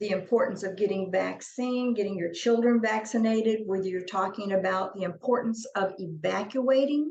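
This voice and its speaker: With an Arkansas accent, a woman talks at a moderate pace and medium pitch, her pitch varying in an ordinary way amid audible room echo. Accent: Southern US (Arkansas). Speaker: company CEO presenting on deaf accessibility. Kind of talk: webinar presentation. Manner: stutter; casual, conversational.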